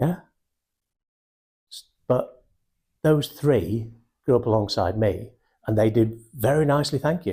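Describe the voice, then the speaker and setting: A man's medium-pitched voice with a Mancunian accent, dark, mellow and somewhat breathy, lively in intonation with big swings in loudness, at a fairly slow pace with long, frequent pauses. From Manchester, England (Wythenshawe). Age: 60s. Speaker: sales and recruitment trainer. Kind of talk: motivational talk. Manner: animated.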